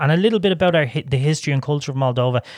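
On a very clean recording with a silent background and a dry, close sound with no echo, a man with an Irish accent speaks at a fairly high pitch with ordinary pitch variation. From Ireland. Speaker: podcast co-host. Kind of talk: casual interview chat; scripted intro and outro.

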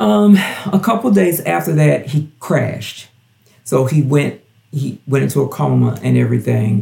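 The speaker talks at a fairly slow pace with a Southern US accent. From US South, Gulfport, Mississippi. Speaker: drag performer and show director. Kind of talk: casual interview, personal story.

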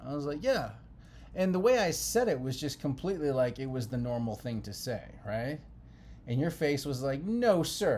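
Lively intonation runs through this somewhat breathy voice, with audible room echo around it. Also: man, fairly high pitch for a man, moderate pace. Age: 30s. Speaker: podcast co-host, married couple. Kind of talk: casual chat.

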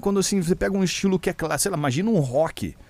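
A man is speaking. His pitch is high. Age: 30s. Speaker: DJ and radio host. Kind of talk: casual chat.

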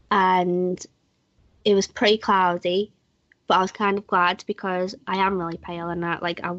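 A woman with a British accent talks at a moderate pace, her fairly low voice held in monotone, flat intonation. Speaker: podcast host. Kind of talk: casual chat.

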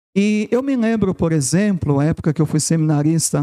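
A man speaks with a dark, mellow tone and lively intonation. The recording is very clean, with a silent background and a dry, close sound with no echo. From São Paulo city, Brazil. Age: 40s. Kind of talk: testimony. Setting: studio.

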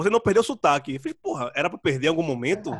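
Speaking at a very fast pace with very wide pitch swings, a man comes through in a dry, close sound with no echo. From Brazil, Pernambuco (Recife area). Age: 30s. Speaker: writer, podcaster and musician. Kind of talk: casual interview chat. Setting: video call.

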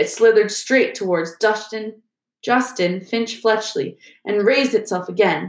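Reading aloud in a natural voice, with little noise in the background

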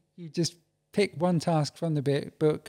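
With an English accent and a dark, mellow tone, a man speaks at a fairly quick pace and a fairly high pitch in a very clean recording with a silent background and a dry, close sound with no echo. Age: 40s. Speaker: podcast guest. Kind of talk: casual chat. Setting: studio.

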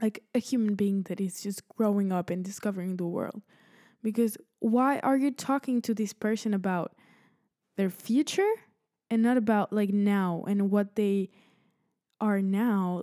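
In a very clean recording with a silent background, a woman with a Spanish accent speaks at medium pitch in a dark, mellow tone, at a fairly slow pace with long, frequent pauses. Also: fairly even intonation, dry, close sound with no echo. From Spain. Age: 20s. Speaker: podcast host, college student. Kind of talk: casual monologue. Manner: halting, many fillers.

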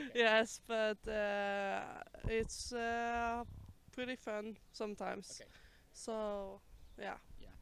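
With a Norwegian accent, a woman talks at a very slow pace with a fairly high pitch and monotone, flat intonation. Long, frequent pauses and big swings in loudness mark her delivery. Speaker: palace guard. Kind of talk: street interview. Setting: outdoors. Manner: halting.

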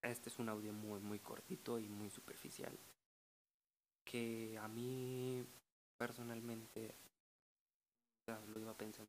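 A man speaks at a fairly slow pace and medium pitch, with long, frequent pauses. His intonation is monotone and flat. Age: 20s. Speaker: podcaster. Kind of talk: casual monologue.

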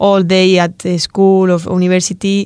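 A woman speaks at a moderate pace and a medium pitch. The recording is very clean, with a silent background and a dry, close sound with no echo. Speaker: guest co-presenter. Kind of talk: casual panel discussion. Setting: studio. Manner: halting, searching for words.

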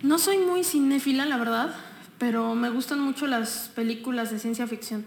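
Over noticeable background noise, a woman talks at a moderate pace in a high pitch with ordinary pitch variation. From Mexico, Texcoco. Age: 20s. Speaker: political candidate. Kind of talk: casual interview.

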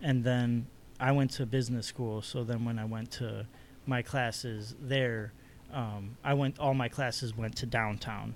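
A man with an American accent speaks at a fairly slow pace, his medium pitch held in a monotone, flat intonation. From Chicago South Side. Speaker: artist. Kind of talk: casual chat.

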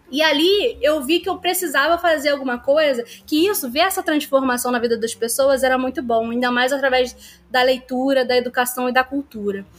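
A woman with a high-pitched voice talks with hardly any pauses. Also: ordinary pitch variation, moderate pace. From Nova Iguaçu, Baixada Fluminense, Rio de Janeiro state, Brazil. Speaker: librarian. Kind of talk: podcast interview.

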